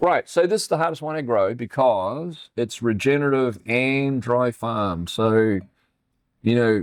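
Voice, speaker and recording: A man at a fairly slow pace with lively intonation, on a very clean recording with a silent background. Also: medium pitch for a man. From New Zealand. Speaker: winemaker. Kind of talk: casual chat.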